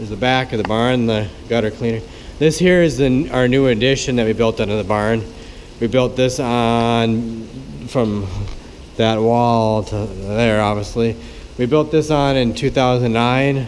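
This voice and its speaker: At a fairly slow pace and with fairly even intonation, a man talks against light background noise. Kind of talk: casual vlog chat. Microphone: phone near.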